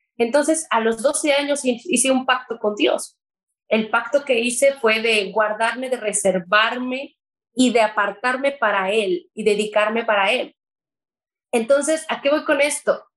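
High-pitched female voice at a fairly slow pace, with ordinary pitch variation. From Mexico. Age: 20s. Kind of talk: testimony. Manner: talkative.

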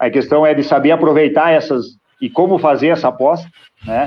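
This voice belongs to a man. Its pitch moves up and down in an ordinary way. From Rio Grande do Sul, Brazil. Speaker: grain broker and agribusiness consultant. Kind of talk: podcast interview.

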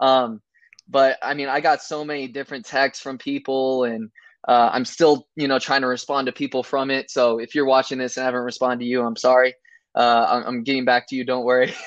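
The delivery comes at a fairly quick pace in a monotone, flat intonation. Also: man, medium pitch for a man. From California. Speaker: college basketball player. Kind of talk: casual interview.

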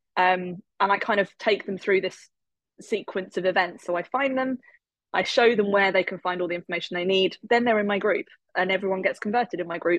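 The sound is dry and close with no echo as a woman talks at a medium pitch and a fairly quick pace, her intonation fairly even. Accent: English. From England. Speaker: network marketer, former maths teacher. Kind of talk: interview.

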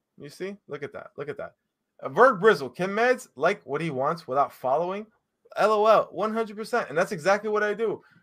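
Lively intonation marks this man's fairly quick speech. The recording is very clean, with a silent background. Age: 30s. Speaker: gaming content creator. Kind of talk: drunken rant. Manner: animated.

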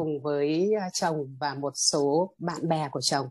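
A woman's voice has a dark, mellow tone. The sound is dry and close, with no echo. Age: 50s. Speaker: meditation student, teacher. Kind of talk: testimony.

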